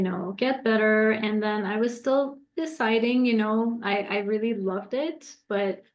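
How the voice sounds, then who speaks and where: A woman speaks with a Persian accent and a fairly high pitch. She leaves hardly any pauses. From Iran. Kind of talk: interview.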